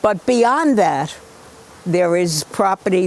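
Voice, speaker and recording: Amid noticeable background noise, a woman speaks at a fairly slow pace. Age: 80s+. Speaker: local party committeewoman. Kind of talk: documentary interview and casual talk. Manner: outspoken.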